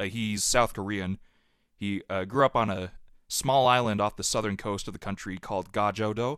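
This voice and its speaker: A plain, everyday voice in a General American accent, fairly even in intonation, on a very clean recording with a silent background. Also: man, fairly low pitch for a man, moderate pace. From Utah, US. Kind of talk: testimony. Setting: podcast interview.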